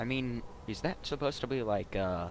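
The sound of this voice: A man talks at a moderate pace, at medium pitch. His pitch varies in an ordinary way.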